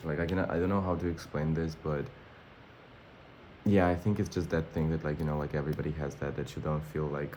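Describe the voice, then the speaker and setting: In a Russian accent, the speaker rushes at a very fast pace with a dark, mellow tone amid audible room echo. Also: man. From born in Armenia, schooled in Russia. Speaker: vlogger. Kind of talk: casual vlog monologue. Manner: animated.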